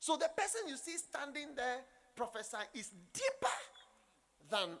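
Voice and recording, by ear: Bright and sharp in tone, the voice moves at a fairly slow pace with big pitch swings and vocal fry. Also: man.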